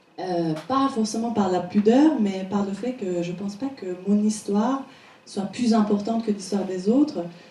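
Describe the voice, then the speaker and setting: A woman with a Persian accent at a medium pitch and fairly slow pace, ordinary pitch variation, audible room echo and noticeable background noise. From Iran, Tehran. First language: Persian (speaking French). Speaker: painter. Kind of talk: interview before an audience. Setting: stage with audience.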